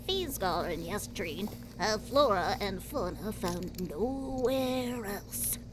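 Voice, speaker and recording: Loud background noise surrounds a female-sounding, put-on character voice that speaks at a fairly slow pace. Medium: audio drama.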